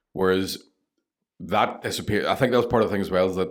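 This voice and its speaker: A man with a Northern Irish accent talks at a very fast pace in a very deep, low pitch, on a very clean recording with a silent background. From Northern Ireland. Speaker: stand-up comedian. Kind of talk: podcast interview answer. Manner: casual, candid.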